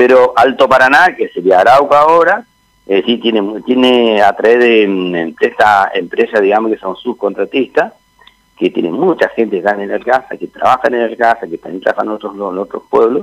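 A man at a medium pitch and moderate pace, with lively intonation. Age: 60s. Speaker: town mayor. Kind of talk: radio interview. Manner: halting.

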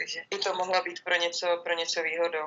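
A woman's medium-pitched voice, monotone and flat, at a fairly quick pace amid noticeable background noise. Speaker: handball goalkeeper. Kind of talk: interview.

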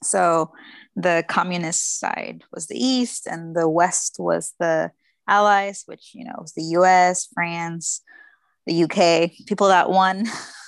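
In a Spanish accent, a woman with a fairly low pitch speaks at a very slow pace, her loudness swinging widely, the sound dry and close with no echo against a quiet background. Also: fairly even intonation. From Mexico, Guadalajara. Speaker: former student, policy professional. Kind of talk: casual interview.

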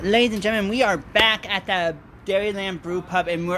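A man projects a raised voice with a bright, sharp tone, fairly even intonation and a moderate pace. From Appleton, Wisconsin. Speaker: podcast host. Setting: live at a brew pub premiere event.

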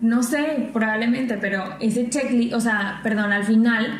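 A woman's fairly high voice at a fairly slow pace, fairly even in intonation, with audible room echo and noticeable background noise. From Mexico, Tampico / Ciudad Madero, Tamaulipas. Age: 20s. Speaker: podcast co-host. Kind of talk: casual chat.

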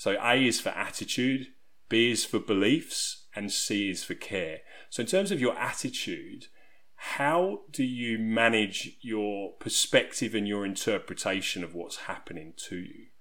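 Speaking fairly slowly with an English accent, a man at medium pitch has a bright, sharp tone. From southeast England. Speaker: resilience coach. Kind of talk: podcast interview.

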